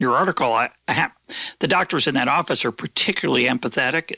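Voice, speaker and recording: A man with a bright, sharp tone and vocal fry speaks at a medium pitch with ordinary pitch variation, the sound dry and close with no echo. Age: 60s. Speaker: podcast host. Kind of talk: interview conversation. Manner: halting.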